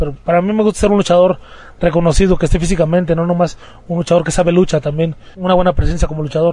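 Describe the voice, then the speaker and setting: Talking very fast, a man keeps a high pitch and fairly even intonation. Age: 20s. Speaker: professional wrestler. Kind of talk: interview.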